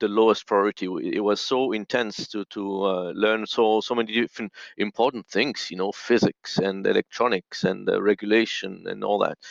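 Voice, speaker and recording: With a quiet background, a man in a French accent speaks at a moderate pace in a flat, monotone intonation. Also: dry, close sound with no echo. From French-speaking Switzerland. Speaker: audio engineer in missions. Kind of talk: interview. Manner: halting, many fillers.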